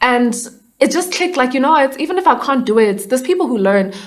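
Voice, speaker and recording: A high-pitched woman at a very fast pace with lively intonation, over noticeable background noise. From South Africa, Johannesburg. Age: 20s. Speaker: actor, dancer and musician. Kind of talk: casual interview.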